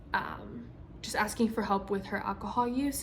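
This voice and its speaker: A woman speaks with fairly even intonation. Audible room echo surrounds her voice. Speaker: physician assistant student. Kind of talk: spoken self-reflection. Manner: hesitant, many ums and stutters.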